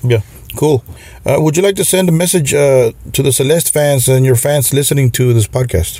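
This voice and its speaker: At a moderate pace, a man speaks in a fairly high, somewhat breathy voice with very even loudness and ordinary pitch variation. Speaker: podcast host. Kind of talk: interview. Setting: video call.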